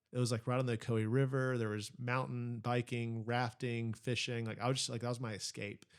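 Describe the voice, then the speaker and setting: The speaker has an American accent and a fairly quick pace. The intonation is monotone and flat, on a very clean recording with a silent background. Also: man. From US Midwest and Texas, Kentucky family. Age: 40s. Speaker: pastor. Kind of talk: casual interview chat. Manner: casual, many fillers.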